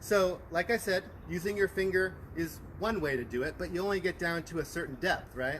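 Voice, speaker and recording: A man speaks loudly at a high pitch. His pitch varies in an ordinary way. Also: fairly quick pace. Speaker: master gardener program coordinator. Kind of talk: gardening demonstration. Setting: outdoors in a backyard garden, livestream.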